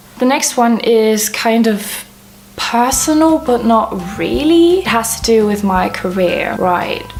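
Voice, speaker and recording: A quiet woman at a fairly high pitch, very slow in pace, with very wide pitch swings, audible room echo and noticeable background noise. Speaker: vlogger. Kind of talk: casual vlog monologue.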